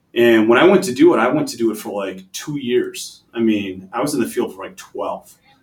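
A man with an Upper Midwest accent, lively intonation, a fairly quick pace and hardly any pauses. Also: medium pitch for a man. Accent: Upper Midwest American. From Wisconsin, Green Bay. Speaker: logistics executive. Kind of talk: interview. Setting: office.

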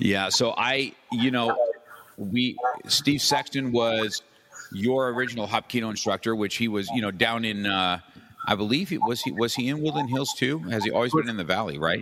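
Medium in pitch with a fairly bright tone, a man speaks at a moderate pace with ordinary pitch variation.

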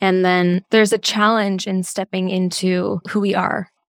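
A woman speaks in a normal speaking voice, medium in pitch, at a moderate pace. The recording is very clean with a silent background, dry and close with no echo. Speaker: podcast host. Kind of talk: scripted intro then interview chat.

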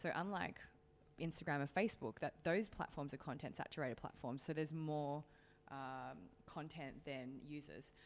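A woman talks at a moderate pace in a very deep, low pitch. Her tone is animated and playful, with ordinary pitch variation. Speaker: podcast co-host, business content creator. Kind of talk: casual banter chat. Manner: animated, laughing, playful.

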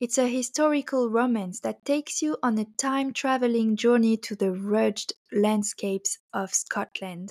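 A woman's voice with a French accent, fairly high in pitch with ordinary pitch variation, at a moderate pace with hardly any pauses, in a very clean recording with a silent background and a dry, close sound with no echo. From France. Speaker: book podcast host. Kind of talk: scripted narration.

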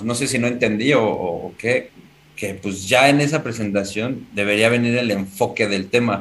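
A man with an ordinary speaking voice talks at medium pitch. His pace is fairly slow, with ordinary pitch variation. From Mexico City. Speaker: aspiring stand-up comedian. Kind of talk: casual chat.

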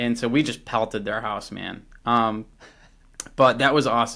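A man's medium-pitched voice in an American accent, bright and sharp in tone, with ordinary pitch variation. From Chicago suburbs, US Midwest. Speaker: YouTube glove reviewer. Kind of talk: casual interview. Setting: remote call. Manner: animated.

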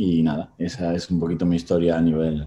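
A man speaks at a moderate pace. His voice is very deep and low, with a dark, mellow tone. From Argentina, Buenos Aires. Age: 40s. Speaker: rowing coach and former Olympic rower. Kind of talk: interview.

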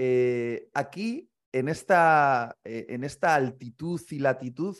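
A man at a very slow pace with lively intonation. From Spain, Bilbao (Basque Country). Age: 30s. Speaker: pastor and author. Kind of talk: interview conversation. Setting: remote call.

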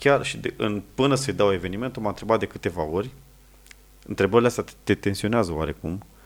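In a very clean recording with a silent background, a man speaks in a fairly low pitch with very wide pitch swings. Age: 30s. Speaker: wedding videographer. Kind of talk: casual chat.

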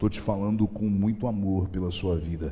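With a very deep, low pitch, a man speaks at a fairly slow pace. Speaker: pastor. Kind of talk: sermon. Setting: church. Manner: fervent, animated, call-and-response with the congregation; emphatic, rhythmic repetition, prophetic tone.

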